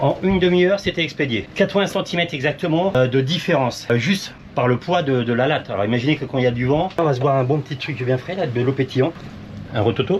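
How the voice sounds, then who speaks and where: Over noticeable background noise, a man with a fairly high voice talks very fast with ordinary pitch variation. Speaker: sailing vlogger, boat captain. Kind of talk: casual vlog commentary.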